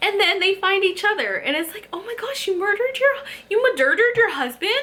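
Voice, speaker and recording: Raising and projecting her voice, a woman speaks at a moderate pace in an animated, bright, sharp tone with an extremely high pitch. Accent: American. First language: Spanish. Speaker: book YouTuber. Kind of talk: casual chat. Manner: halting.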